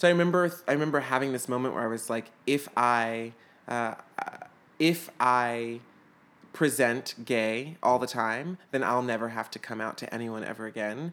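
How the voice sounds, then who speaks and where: A man with an American accent talks at a moderate pace in an unremarkable speaking voice, medium in pitch, with ordinary pitch variation. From US South, Atlanta, Georgia. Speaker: actor. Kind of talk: casual chat.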